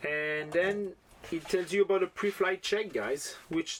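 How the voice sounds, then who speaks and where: A man talks with a French accent. He speaks at a fairly slow pace. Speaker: FPV drone hobbyist YouTuber. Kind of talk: casual product unboxing vlog. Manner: enthusiastic, animated.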